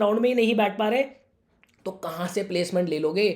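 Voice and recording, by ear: A man talks at a fast pace.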